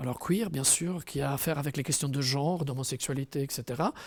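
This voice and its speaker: A man's voice with a dark, mellow tone sounds dry and close, with no echo. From Italian-speaking province. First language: Italian (speaking French). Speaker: author and translator. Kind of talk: interview monologue. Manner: hesitant, many fillers.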